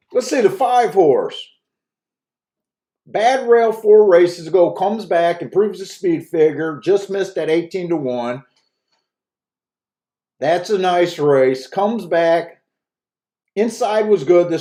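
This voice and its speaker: Using a put-on character voice, a man mumbles at a high pitch and a fairly slow pace, with lively intonation and long, frequent pauses. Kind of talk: casual, low-key. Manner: mumbling, words run together.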